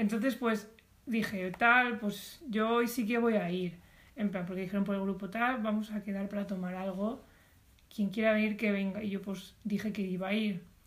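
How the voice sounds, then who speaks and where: Somewhat breathy, the voice moves at a moderate pace with monotone, flat intonation. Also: woman, medium pitch for a woman. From Spain, Alicante province. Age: 20s. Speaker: podcast co-host, design student. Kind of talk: casual chat.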